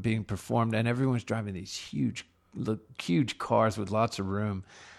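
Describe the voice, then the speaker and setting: A plain, everyday voice comes from a man with an American accent, medium-pitched, at a moderate pace with ordinary pitch variation, on a very clean recording with a silent background. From Laredo, Texas (US–Mexico border). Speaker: rock musician. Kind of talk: casual interview chat. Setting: dining room at a private home.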